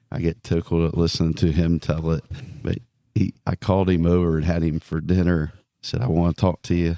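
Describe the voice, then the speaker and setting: A man mumbles in a very deep, low, dark and mellow voice with monotone, flat intonation at a fairly quick pace. The sound is dry and close with no echo, on a very clean recording with a silent background. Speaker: evangelist preacher. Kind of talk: casual interview chat, testimony. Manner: mumbling.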